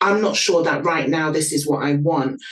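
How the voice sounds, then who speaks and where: A woman talks at a moderate pace with a London accent. Her pitch is very deep and low. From London, England (Nigerian parents). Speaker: PR copywriter and content marketer. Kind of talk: interview.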